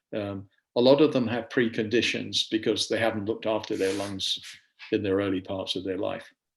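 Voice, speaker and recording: A man's fairly low voice with an English accent and fairly even intonation. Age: 70s. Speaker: safety equipment seller. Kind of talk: product presentation.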